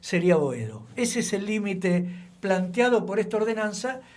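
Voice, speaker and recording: Audible room echo around speech at a moderate pace, its pitch variation ordinary. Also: man. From Argentina, Buenos Aires. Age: 70s. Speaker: local historian. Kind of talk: radio interview.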